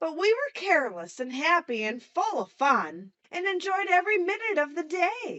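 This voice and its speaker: Delivered in a put-on character voice, the speech runs on with hardly any pauses. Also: woman, extremely high pitch for a woman, moderate pace. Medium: read story.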